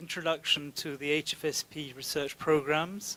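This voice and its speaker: A man with an ordinary speaking voice, pitched fairly high. He talks at a moderate pace with fairly even intonation. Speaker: science funding program representative. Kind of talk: lecture.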